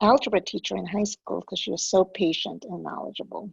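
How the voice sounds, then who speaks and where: Here a woman speaks at a moderate pace. The sound is dry and close, with no echo. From immigrated to US as a child. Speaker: program director hosting a webinar. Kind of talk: webinar hosting. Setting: online webinar. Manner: conversational, with frequent fillers.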